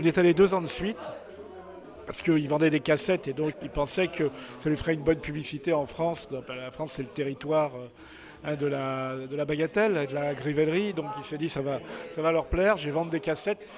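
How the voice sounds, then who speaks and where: Against noticeable background noise, a man talks at a fairly quick pace, his fairly high pitch showing ordinary variation. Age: 60s. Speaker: photographer. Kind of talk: interview. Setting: book signing event. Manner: halting.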